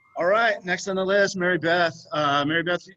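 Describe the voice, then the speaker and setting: A man speaks with an American accent in a bright, sharp tone. His pace is moderate and his intonation fairly even. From northern California. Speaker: winemaker hosting a tasting. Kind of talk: casual video call chat. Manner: halting, many fillers.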